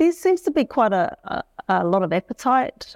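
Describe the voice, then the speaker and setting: A woman with a New Zealand accent, in a dry, close sound with no echo, on a very clean recording with a silent background. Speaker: business lecturer. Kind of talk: panel discussion. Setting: stage with audience.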